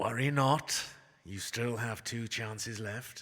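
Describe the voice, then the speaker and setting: A man does a put-on character voice at a medium pitch and a fairly slow pace. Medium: audio drama.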